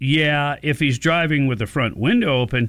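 Lively in intonation, this man's voice is fairly high in pitch with a bright, sharp tone. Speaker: radio talk show host. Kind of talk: talk radio. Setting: radio studio.

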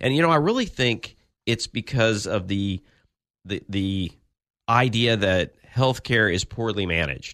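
In an ordinary speaking voice, a man with a fairly low pitch talks at a fairly slow pace with lively intonation over a quiet background. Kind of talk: radio host patter. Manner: conversational, easygoing, hedging with fillers and restarts.

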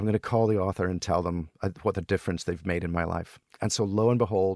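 A man's very deep, low voice in a Scottish accent at a very fast pace, dry and close with no echo, on a very clean recording with a silent background. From Scotland. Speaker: entrepreneur. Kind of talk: casual chat.

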